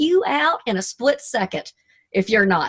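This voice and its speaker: A woman's voice with very wide pitch swings at a fairly slow pace, in a dry, close sound with no echo. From US South, Arkansas. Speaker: motivational speaker and radio DJ. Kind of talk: motivational talk. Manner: animated.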